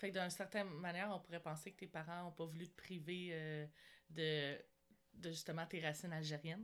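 In a Quebec accent, a woman talks at a fairly quick pace. Her intonation is monotone and flat. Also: fairly low pitch for a woman. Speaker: podcast host. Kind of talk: interview.

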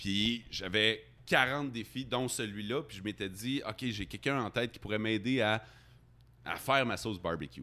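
A man speaks fairly slowly in a fairly low pitch with a bright, sharp tone. The recording is very clean and the background silent. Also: ordinary pitch variation. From Quebec, Abitibi-Témiscamingue. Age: 40s. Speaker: radio host. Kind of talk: casual chat. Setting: bar.

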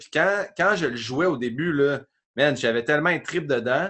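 A man with a Quebec accent speaks at a moderate pace and a fairly high pitch, using ordinary pitch variation. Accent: Québécois French. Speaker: comedian. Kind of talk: casual chat.

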